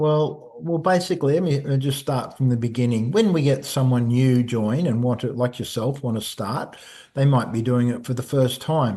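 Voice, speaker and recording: With an Australian accent, a man speaks at a moderate pace with hardly any pauses and a medium pitch with ordinary pitch variation. His tone is dark and mellow. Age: 60s. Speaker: personal trainer. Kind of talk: casual interview chat. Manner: halting, repeats words.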